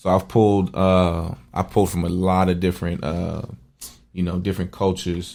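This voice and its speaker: With a New York accent, a man speaks at a very deep, low pitch in a dark, mellow tone. His intonation is monotone and flat, and his pace is moderate. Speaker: rapper. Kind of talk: podcast interview. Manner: casual, filler-heavy.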